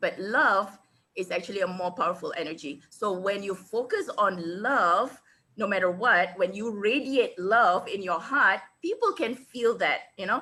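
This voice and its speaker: The tone is bright, sharp and animated, with ordinary pitch variation at a fairly slow pace. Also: woman, medium pitch for a woman. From Singapore. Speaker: international speaker and business coach. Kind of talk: webinar interview.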